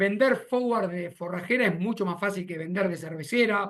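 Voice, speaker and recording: With an Argentine accent, a man talks at a fairly quick pace in a high pitch with ordinary pitch variation. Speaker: agronomist consultant. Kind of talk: webinar presentation. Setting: video call.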